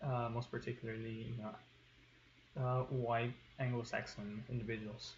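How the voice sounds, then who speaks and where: A man with a medium pitch and a somewhat breathy voice speaks at a fairly slow pace in monotone, flat intonation. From Tijuana, Mexico. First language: Spanish. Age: 20s. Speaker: student. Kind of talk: class presentation. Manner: hesitant with fillers.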